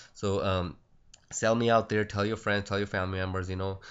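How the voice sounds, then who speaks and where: The man's voice is fairly low-pitched and delivered with monotone, flat intonation. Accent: Punjabi. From India, Punjab. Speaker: stock trading educator. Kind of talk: screen-recorded trading tutorial. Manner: halting, many fillers; casual.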